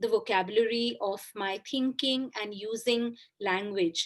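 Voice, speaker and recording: A woman with a Bengali accent speaks with a fairly high pitch. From India, Kolkata. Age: 40s. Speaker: author. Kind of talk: interview. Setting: podcast.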